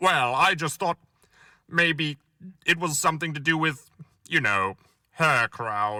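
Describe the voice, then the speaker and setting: Doing a put-on character voice, a man mumbles at a fairly high pitch and fairly slow pace, with lively intonation and long, frequent pauses. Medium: read story. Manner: hesitant, mumbling.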